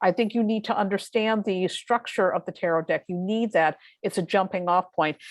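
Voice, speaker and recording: Against a quiet background, a woman with a normal speaking voice talks at a fairly quick pace with ordinary pitch variation, the sound dry and close with no echo. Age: 50s. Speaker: tarot reader and astrologer. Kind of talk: interview conversation.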